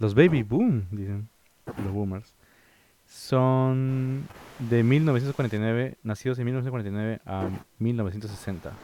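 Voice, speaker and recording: Very slowly, a man speaks with a dark, mellow tone. His pitch is medium, with ordinary variation. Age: 30s. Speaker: podcast co-host. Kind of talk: reading aloud; casual chat. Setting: Discord call.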